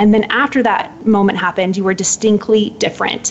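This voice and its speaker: Noticeable background noise surrounds a woman speaking in a fairly high pitch. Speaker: author and purpose coach. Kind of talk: interview. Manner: crisp, eloquent.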